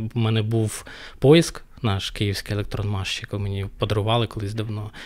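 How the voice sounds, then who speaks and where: A man at a fairly quick pace, his intonation fairly even, over a quiet background. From Ukraine. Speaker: DevOps engineer; podcast guest. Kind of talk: casual interview chat. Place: studio. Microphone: studio mic.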